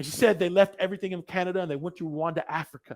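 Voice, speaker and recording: A loud, energetic tone at a fairly quick pace, in a very clean recording with a silent background. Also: man. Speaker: motivational speaker. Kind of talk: keynote speech.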